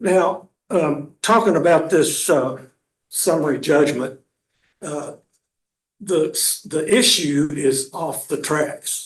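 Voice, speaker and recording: Speaking at a very slow pace with long, frequent pauses, a man with a fairly high pitch is heard in audible room echo. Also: ordinary pitch variation. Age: 70s. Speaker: self-represented litigant. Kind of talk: courtroom argument. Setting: courtroom. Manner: halting, many fillers.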